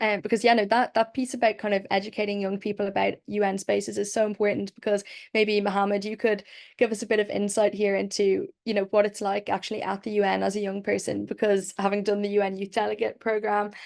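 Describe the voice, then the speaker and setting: A woman speaks very fast in an Irish accent. Her medium-pitched voice stays flat and monotone. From Ireland. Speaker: webinar moderator. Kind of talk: panel moderation.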